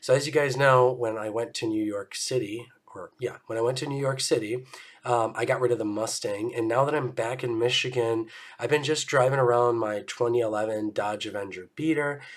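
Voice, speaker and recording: Noticeable background noise beneath fairly even intonation. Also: man, medium pitch for a man. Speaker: car vlogger. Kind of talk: casual vlog. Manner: casual, hesitant with fillers.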